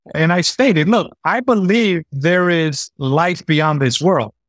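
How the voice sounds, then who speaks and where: An ordinary speaking voice from a man, fairly high in pitch with ordinary pitch variation, at a fairly slow pace, the sound dry and close with no echo. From New York City (the Bronx). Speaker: podcast host. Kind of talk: casual conversation.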